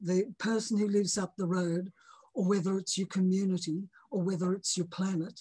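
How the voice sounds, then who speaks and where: A woman's somewhat breathy, medium-pitched voice with a dark, mellow tone and flat, monotone intonation. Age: 70s. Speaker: moral philosopher, author. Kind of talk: interview. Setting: podcast. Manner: halting.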